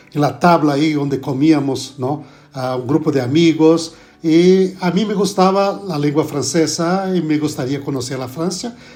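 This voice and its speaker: Fairly slow in pace, this voice carries a dark, mellow tone. Its pitch varies in an ordinary way. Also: man. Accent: Brazilian. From Brazil. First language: Portuguese (speaking Spanish). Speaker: pastor and theology professor. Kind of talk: podcast interview. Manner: halting.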